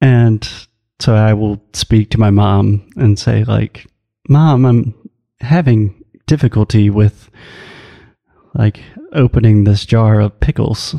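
A man with an American accent speaks very slowly in a fairly low, dark and mellow voice with ordinary pitch variation. Long, frequent pauses break it up, and the sound is dry and close with no echo. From US South. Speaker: English teacher and co-host. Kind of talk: casual chat.

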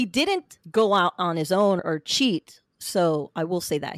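A woman's medium-pitched voice with an American accent, on a very clean recording against a silent background. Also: dry, close sound with no echo. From central Florida. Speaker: podcaster, divorcee sharing her story. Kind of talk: personal testimony interview.

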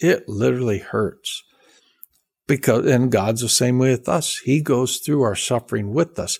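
An ordinary speaking voice: a man at medium pitch with an American accent, ordinary pitch variation and a moderate pace. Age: 60s. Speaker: seminary professor and pastor. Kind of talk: casual interview conversation.

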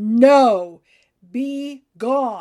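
A fairly high-pitched, put-on character voice. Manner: gruff, curt refusal.

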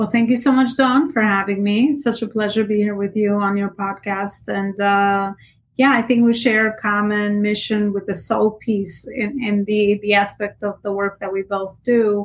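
An ordinary speaking voice at a moderate pace, with fairly even intonation and hardly any pauses. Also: woman, medium pitch for a woman. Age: 30s. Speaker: entrepreneur and business coach. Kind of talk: casual interview.

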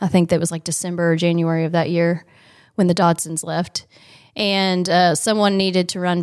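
In an American accent, a woman speaks with monotone, flat intonation on a very clean recording with a silent background. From Indiana, rural area north of Indianapolis. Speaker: children's ministry director, former agriculture teacher. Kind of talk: casual interview.

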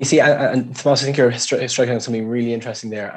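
Medium male pitch with fairly even intonation. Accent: Irish. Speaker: education policy official, former primary school principal. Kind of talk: interview.

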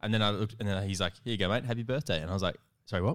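A man speaks at a very fast pace with an Australian accent. The recording is very clean, with a silent background. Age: 20s. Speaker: podcast host. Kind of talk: casual chat. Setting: studio.

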